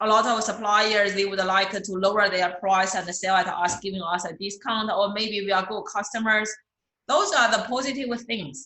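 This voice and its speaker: A woman's fairly high voice with a non-native accent, plus audible room echo. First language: not English. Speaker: accounting instructor. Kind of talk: lecture. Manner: repetitive, hesitant with fillers.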